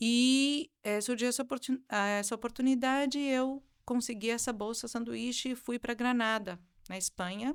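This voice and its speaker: A woman with a high-pitched voice speaks at a moderate pace with fairly even intonation, in a very clean recording against a silent background. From southern Brazil (raised from 11 months, Argentine parents). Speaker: music professor and singer. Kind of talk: interview. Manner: halting, with many fillers.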